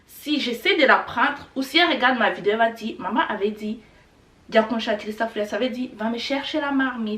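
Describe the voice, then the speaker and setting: Over noticeable background noise, a woman with a Rwandan accent talks in a fairly high pitch with ordinary pitch variation. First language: Kinyarwanda (speaking French). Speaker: language teacher youtuber. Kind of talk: tutorial. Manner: casual.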